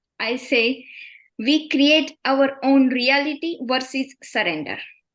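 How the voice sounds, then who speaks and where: Against a quiet background, a woman with a high pitch speaks very slowly. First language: Indian language, not English. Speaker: participant asking a question. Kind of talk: question in live Q&A. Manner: halting.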